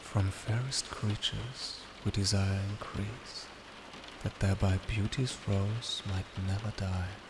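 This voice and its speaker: Soft-spoken and soothing, a man talks very slowly at a fairly low pitch in a monotone, flat way, with noticeable background noise behind him. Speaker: ASMR reader. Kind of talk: poetry reading. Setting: rain on window ambience in background. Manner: soft-spoken, soothing.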